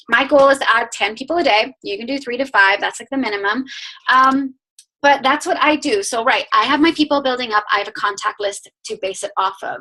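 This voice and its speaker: A woman's high, raised, projected voice at a fairly quick pace, with big swings in loudness and ordinary pitch variation. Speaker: network marketing coach. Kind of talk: team training call. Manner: fast; animated.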